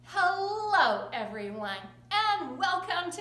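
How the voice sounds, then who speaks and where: A woman's raised, projected voice, very slow, with very wide pitch swings over noticeable background noise. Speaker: kindergarten teacher. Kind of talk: children's lesson talk to camera.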